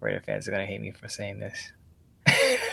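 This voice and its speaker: A raspy, put-on character voice. It moves along at a moderate pace. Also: man. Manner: whispering, half-muttered.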